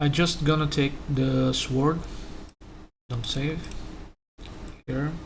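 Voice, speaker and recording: A man talks at a very slow pace with long, frequent pauses, and audible room echo surrounds his voice. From Brazil. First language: Portuguese. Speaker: 3D modeler. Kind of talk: tutorial. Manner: halting.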